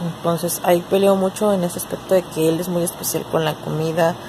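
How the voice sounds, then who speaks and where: Over noticeable background noise, a woman speaks at a moderate pace in a weary tone, fairly low in pitch and with fairly even intonation. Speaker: vlogger. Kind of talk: casual vlog chat. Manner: low, weary talk lying down. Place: home room. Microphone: phone near.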